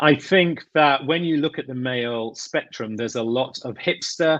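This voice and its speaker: At a fairly slow pace, a man with a British accent speaks at medium pitch with lively intonation against a quiet background. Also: dry, close sound with no echo. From England. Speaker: grooming brand owner. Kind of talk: interview.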